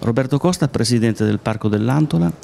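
A man's voice sits at a fairly low pitch with a slightly mellow tone.

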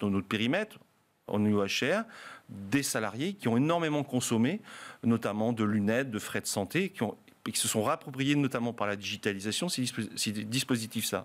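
The man's pitch varies in an ordinary way. He keeps a moderate pace. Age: 50s. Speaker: hospitality trade union leader; guest. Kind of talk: panel debate. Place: studio. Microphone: studio mic.

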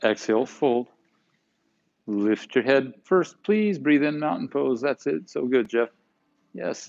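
A man talks at a very slow pace in a soothing, calm tone, with very wide pitch swings. Long, frequent pauses break his speech against a quiet background. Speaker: yoga instructor. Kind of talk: guided yoga class, calm cueing of poses and breath with brief reflective asides. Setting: live online broadcast to home viewers. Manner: soothing, calm and unhurried, giving short instructions in rhythm with breath; warm, conversational and encouraging, with playful words like yumminess. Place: gym.

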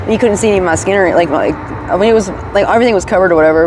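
With an American accent, a woman talks very fast with ordinary pitch variation, the sound dry with no echo amid noticeable background noise. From Virginia. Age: 30s. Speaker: homeless person in recovery interview; interviewee. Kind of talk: interview. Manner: hesitant, many fillers. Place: street. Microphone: lapel.

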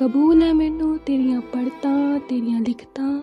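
Music runs in the background. The woman's pitch varies in an ordinary way. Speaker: voice-over artist. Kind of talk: poetry reading.

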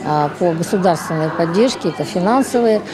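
Against clear background noise, a woman with a fairly low pitch talks at a fairly quick pace with lively intonation.

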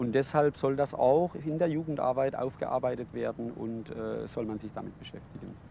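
Dry with no echo and light background noise, a man's dark, mellow voice shows ordinary pitch variation and big swings in loudness. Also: moderate pace. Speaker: youth official. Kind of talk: interview statement; interview answer. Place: open country.

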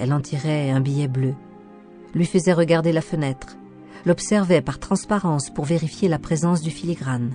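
Over music in the background, a woman with a very deep, low pitch talks at a moderate pace with ordinary pitch variation. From France. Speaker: voice actor; audio guide and documentary narrator.

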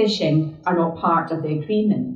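Her pace is moderate and her intonation fairly even, with a fairly low pitch for a woman. Audible room echo surrounds her voice, but the background is quiet. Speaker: politician. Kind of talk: public talk. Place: hall.

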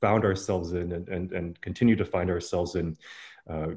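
Over a quiet background, a man with a very deep, low pitch talks at a fairly quick pace. His delivery is monotone and somewhat breathy. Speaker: curator hosting conversation. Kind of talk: interview host introduction. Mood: friendly, amused. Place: home room. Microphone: earbuds.

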